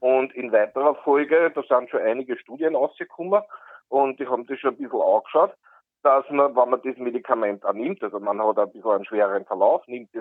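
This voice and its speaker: With lively intonation, a man talks at a moderate pace in a normal speaking voice of medium pitch. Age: 50s. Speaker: caller. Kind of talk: call-in question.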